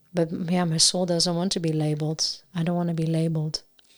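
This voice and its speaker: The recording is very clean, with a silent background. The speaker uses monotone, flat intonation in a Dutch accent. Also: woman. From Netherlands. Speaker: singer-songwriter. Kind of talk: casual chat. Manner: halting.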